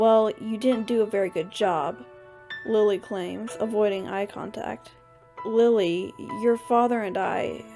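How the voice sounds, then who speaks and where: A woman with a fairly high pitch and ordinary pitch variation talks while music plays in the background. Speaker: amateur story reader. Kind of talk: audiobook story reading. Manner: slight lisp.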